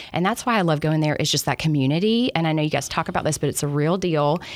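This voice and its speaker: A woman speaks in a Southern US accent. Her pitch is fairly low. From Alabama. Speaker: business executive. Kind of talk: podcast interview. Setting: studio.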